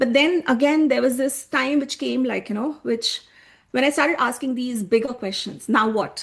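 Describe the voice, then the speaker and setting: With an Indian accent, a woman speaks at a high pitch with ordinary pitch variation. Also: moderate pace. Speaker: human design coach. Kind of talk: online workshop presentation. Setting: live video call with screen share.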